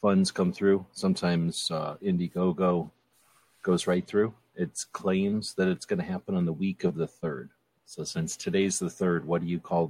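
A man with a very deep, low pitch talks at a moderate pace and with fairly even intonation, in a dry, close sound with no echo. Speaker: panelist. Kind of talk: casual panel banter.

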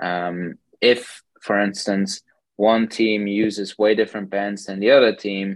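A man with a German accent and a fairly low pitch. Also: quiet background. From Germany. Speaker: sports scientist. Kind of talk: podcast interview.

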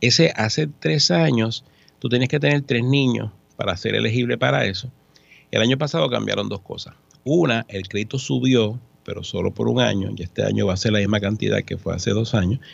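Against a quiet background, a man at medium pitch talks fairly quickly with lively intonation and vocal fry. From Puerto Rico, San Juan. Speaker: accountant. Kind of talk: radio interview. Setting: studio.

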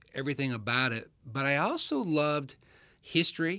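Bright, sharp tone from a man with an American accent, fairly high in pitch, fairly even in intonation, at a moderate pace on a very clean recording with a silent background. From Michigan. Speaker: motorsport pit reporter. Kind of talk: interview.

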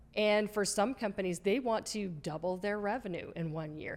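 This woman uses ordinary pitch variation at a moderate pace. It is an ordinary speaking voice. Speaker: marketing podcast co-host. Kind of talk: casual educational chat.

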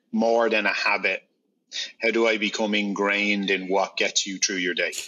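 At a moderate pace, a man with an Irish accent speaks in a fairly low pitch with monotone, flat intonation. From Ireland. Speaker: beverage company founder. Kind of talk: interview.

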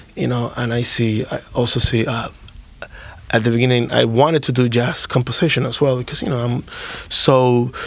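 Background noise is noticeable as a man speaks at a moderate pace. His medium-pitched voice has monotone, flat intonation. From Dominican Republic. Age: 30s. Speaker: musician. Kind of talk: casual interview.

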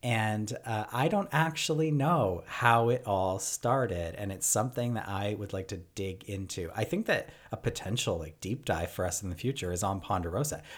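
On a very clean recording with a silent background, the speaker has an unremarkable speaking voice. The delivery runs at a moderate pace with lively intonation and hardly any pauses. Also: man, fairly low pitch for a man. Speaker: podcast host. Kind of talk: casual podcast chat.

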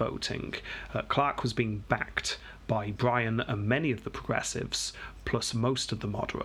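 This is a reading aloud in a natural voice. The intonation stays fairly even.

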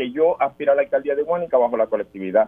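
This man speaks at a fairly quick pace in a fairly high voice, his pitch swinging very widely. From Puerto Rico, Guánica. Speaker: political candidate, military veteran. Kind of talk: radio interview.

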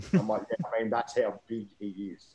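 In an Australian accent, a man speaks at medium pitch and a moderate pace, with ordinary pitch variation and a dark, mellow tone. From Victoria, Australia. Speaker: amateur football club founder. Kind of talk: casual interview.

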